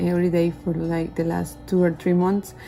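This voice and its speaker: A woman speaks with a non-native accent. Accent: non-native English pronunciation. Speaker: new real estate agent, vlogger. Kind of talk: casual vlog, advice. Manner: hesitant, many fillers.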